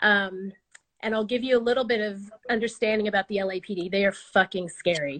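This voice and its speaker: This woman has an ordinary speaking voice at medium pitch, with an American accent and ordinary pitch variation. The recording is dry and close, with no echo. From Oklahoma, US. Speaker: storyteller. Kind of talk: storytelling.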